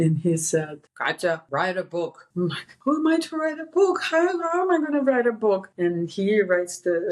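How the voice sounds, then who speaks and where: Speaking in a Russian accent, a woman moves at a moderate pace with hardly any pauses. Her medium pitch has very wide swings. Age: 50s. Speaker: author and women's empowerment speaker. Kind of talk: podcast interview. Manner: halting, many repeats and fillers.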